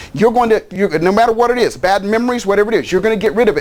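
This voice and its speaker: A man with a high pitch speaks in an animated tone. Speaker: life coach and seminar speaker. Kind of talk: promotional pitch. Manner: fast.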